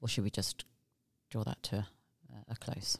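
A woman's fairly quick speech with vocal fry and fairly even intonation, dry and close with no echo. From UK. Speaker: forensic investigator. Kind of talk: casual interview.

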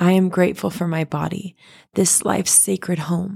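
With a dark, mellow tone and a somewhat breathy sound, a woman speaks at a fairly low pitch in a monotone, flat way. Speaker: podcaster. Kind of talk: fervent spoken prayer, poetic and rhythmic, reading a gratitude poem aloud. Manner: earnest, devout, impassioned, slow and rhythmic cadence with heartfelt emphasis.

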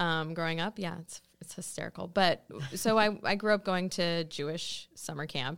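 A woman's unremarkable speaking voice in an American accent, fairly low in pitch with fairly even intonation, big swings in loudness and a moderate pace, on a very clean recording with a silent background. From Ohio, Cleveland. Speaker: podcast guest. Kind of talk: casual chat. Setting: studio.

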